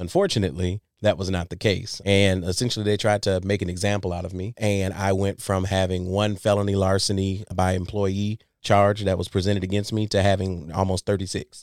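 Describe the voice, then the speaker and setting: On a very clean recording with a silent background, a man with an American accent and a fairly low pitch talks at a fairly quick pace with hardly any pauses. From Saginaw, Michigan. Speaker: formerly homeless musician. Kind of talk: personal testimony. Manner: animated.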